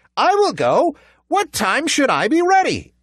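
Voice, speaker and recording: A squeaky, put-on character voice with an extremely high pitch speaks at a moderate pace. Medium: read story. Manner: polite, clever.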